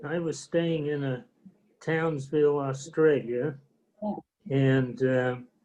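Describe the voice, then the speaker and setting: A man with an American accent speaks very slowly at a fairly high pitch, his intonation fairly even. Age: 80s+. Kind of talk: casual reminiscing with family. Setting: video call.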